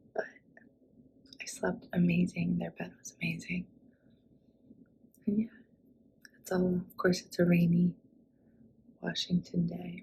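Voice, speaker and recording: A quiet woman at a fairly slow pace. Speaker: travel vlogger. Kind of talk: casual vlog talk to camera. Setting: indoors at friend's home.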